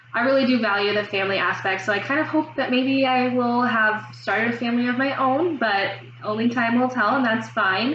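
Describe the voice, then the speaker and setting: A woman with an American accent speaks at a fairly quick, fairly high pitch with ordinary pitch variation, very even loudness and hardly any pauses, with audible room echo and noticeable background noise. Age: 20s. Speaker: student. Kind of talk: mock job interview answers to camera. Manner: fast; hesitant, many fillers.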